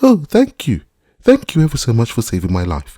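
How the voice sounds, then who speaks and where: A man puts on a squeaky character voice at a medium pitch. He speaks at a fairly quick pace. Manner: grateful.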